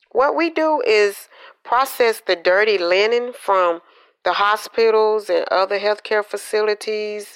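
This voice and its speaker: Over a quiet background, a woman with a Southern US accent speaks fairly slowly at a fairly high pitch, with ordinary pitch variation and very even loudness. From Georgia, US South. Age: 50s. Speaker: healthcare laundry worker. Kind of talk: interview.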